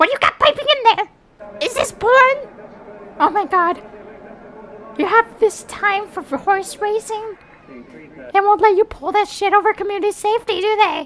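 In a put-on character voice at an extremely high pitch, the speaker moves at a moderate pace. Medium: dub. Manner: aggressive, shouting.

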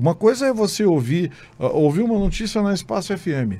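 With a dark, mellow tone, a man talks at a fairly quick pace and swings very widely in pitch. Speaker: state deputy and journalist-commentator; politician guest. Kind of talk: radio interview. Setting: radio studio. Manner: animated. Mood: critical, argumentative. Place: studio. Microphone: studio mic.

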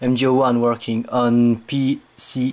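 A man with a French accent, very slow pace and monotone, flat intonation. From France. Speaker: gamer making a tutorial. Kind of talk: casual tutorial voice-over. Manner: hesitant, halting. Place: home room. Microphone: phone near.

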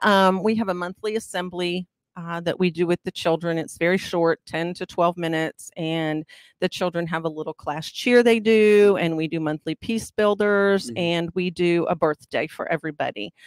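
The speaker keeps a moderate pace with ordinary pitch variation. The background is quiet and the sound is dry, with no echo. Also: woman. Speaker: guest. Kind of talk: interview answer. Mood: warm, upbeat. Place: studio. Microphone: studio mic.

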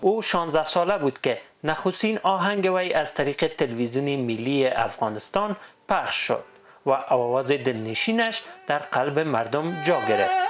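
A man's normal speaking voice, fairly high in pitch, with lively intonation, very even loudness and a moderate pace. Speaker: news reporter. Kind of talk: news report narration.

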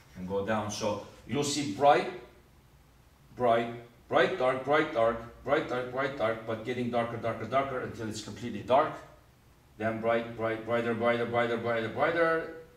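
Long, frequent pauses break up speech at a moderate pace, with ordinary pitch variation and audible room echo. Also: man. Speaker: teacher. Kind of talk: lecture. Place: classroom.

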